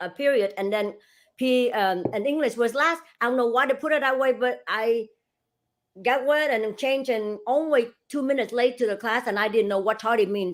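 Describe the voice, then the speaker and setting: An animated tone with ordinary pitch variation comes at a moderate pace in a very clean recording with a silent background. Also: woman. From Asia, immigrated to US at fifteen. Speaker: real estate broker and franchise owner. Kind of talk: casual interview.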